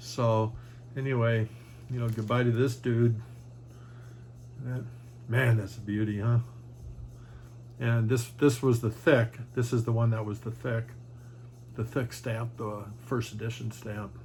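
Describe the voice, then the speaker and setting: Somewhat breathy and flat in intonation, a man speaks at a medium pitch and a fairly slow pace with long, frequent pauses. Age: 60s. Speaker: trading card collector and YouTuber. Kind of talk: casual video monologue showing cards. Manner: halting, many fillers.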